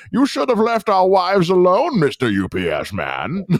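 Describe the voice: A man's put-on character voice, high-pitched and fairly slow.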